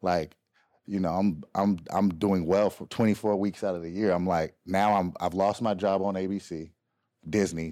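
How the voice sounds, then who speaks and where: Over a very clean, silent background, a man with an American accent speaks at a moderate pace in a very deep, low voice with a dark, mellow tone. His intonation is flat and monotone. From Kansas City, US Midwest. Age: 30s. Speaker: actor and choreographer. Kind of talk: casual interview chat.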